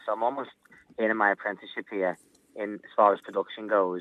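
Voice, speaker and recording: A man with a Liverpool accent talks at a fairly quick pace in a fairly low pitch. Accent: Scouse. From Liverpool, England. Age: 20s. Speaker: singer. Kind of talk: interview. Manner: animated.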